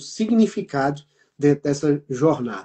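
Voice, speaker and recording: This man speaks at a fairly slow pace with lively intonation. His voice is somewhat breathy. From Brazil. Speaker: business mentor and program host. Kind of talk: live online talk show.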